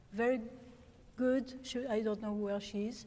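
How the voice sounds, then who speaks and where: A fairly high-pitched woman with a French accent and ordinary pitch variation. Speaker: organist. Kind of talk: lecture. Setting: stage with audience. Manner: halting.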